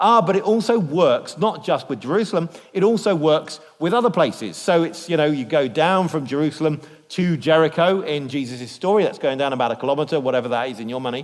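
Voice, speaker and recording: Over noticeable background noise, a man with a British accent talks at a very fast pace, with a fairly high pitch and lively intonation. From Britain. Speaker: biblical scholar, guest speaker. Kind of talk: church lecture. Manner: lively and humorous.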